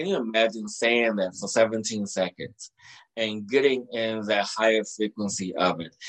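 A plain, everyday voice from a man, fairly low in pitch at a fairly slow pace. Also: fairly even intonation. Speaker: energy healer and soul mentor. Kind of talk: interview about spirituality and healing.

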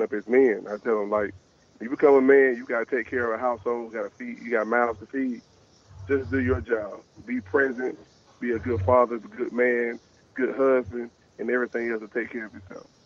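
In a Southern US accent, the speech races at a very fast pace with monotone, flat intonation. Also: man. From Alabama, Tuscaloosa. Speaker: high school football coach. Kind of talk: radio interview.

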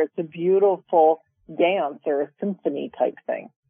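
A woman talks in an unremarkable speaking voice, fairly low in pitch. Her pitch variation is ordinary. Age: 50s. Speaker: podcast co-host, self-love teacher. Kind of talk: casual chat.

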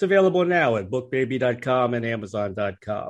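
A normal speaking voice with lively intonation in an American accent. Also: man. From Washington DC. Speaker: radio host and music journalist. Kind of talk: scripted introduction; interview.

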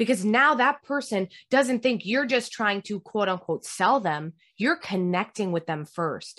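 A woman has an ordinary speaking voice at a fairly high pitch, using lively intonation at a fairly slow pace. The sound is dry and close with no echo. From US, Italian-American family. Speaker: communication coach. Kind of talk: interview.

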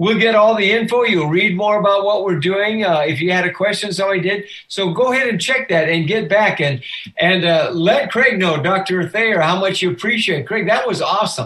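A man talks in a high pitch with hardly any pauses. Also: ordinary pitch variation, moderate pace. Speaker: pastor and radio host. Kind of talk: radio talk show. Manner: upbeat, encouraging.

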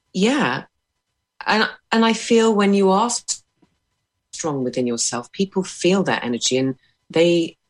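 With long, frequent pauses, a woman speaks fairly slowly at a medium pitch, her voice swinging very widely in pitch. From England. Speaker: artist. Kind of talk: casual discussion.

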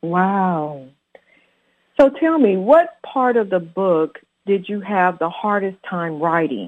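A woman at a medium pitch, with a very slow pace and lively intonation. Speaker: radio host. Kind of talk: radio interview.

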